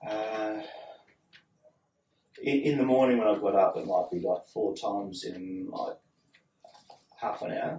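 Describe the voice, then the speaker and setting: A man with an Australian accent, at a fairly slow pace, with long, frequent pauses. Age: 60s. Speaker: patient. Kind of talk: medical history interview. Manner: halting.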